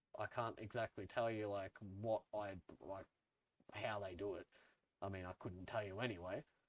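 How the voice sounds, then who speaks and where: A man with an Australian accent speaks at a moderate pace in a fairly low pitch, with long, frequent pauses. The sound is dry and close, with no echo. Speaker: music YouTuber. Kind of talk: casual opinion vlog. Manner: casual, filler-heavy.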